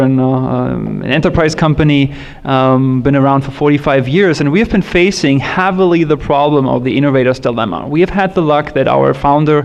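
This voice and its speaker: Speaking with a German accent, a man talks at a fairly quick pace in a fairly high pitch. Noticeable background noise runs underneath. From Germany, Berlin area. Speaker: tech industry panelist. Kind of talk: panel discussion.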